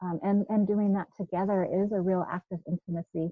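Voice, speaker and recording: A woman talks in a normal speaking voice at a medium pitch. She keeps a moderate pace. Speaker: biblical counselor. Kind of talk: panel discussion.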